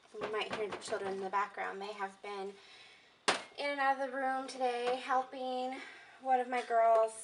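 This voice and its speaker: There is noticeable background noise as a woman talks at a moderate pace with ordinary pitch variation. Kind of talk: tutorial. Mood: relaxed, chatty. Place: home room. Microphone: camera far.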